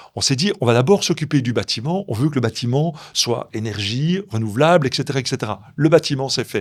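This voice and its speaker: Lively intonation and an animated tone drive this fairly quick-paced speech. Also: man, medium pitch for a man. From Belgium, Brussels area. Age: 60s. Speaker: chocolatier and entrepreneur. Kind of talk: interview.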